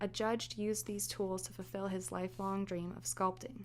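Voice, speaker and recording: The speaker is a woman. She is soft-spoken and keeps to a moderate pace. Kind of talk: ASMR fireside book reading. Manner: soft-spoken, natural.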